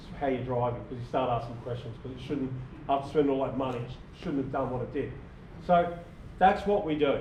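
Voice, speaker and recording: A man with an Australian accent at a very fast pace, fairly high in pitch with ordinary pitch variation, amid audible room echo and noticeable background noise. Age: 60s. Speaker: small business owner presenting to a club. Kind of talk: club presentation. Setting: club meeting with audience. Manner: casual, repetitive with false starts.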